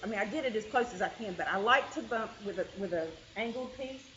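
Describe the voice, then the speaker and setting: A fairly high-pitched woman's voice amid noticeable background noise. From Kentucky hills. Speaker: quilting teacher. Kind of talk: tutorial. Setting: meeting room with group.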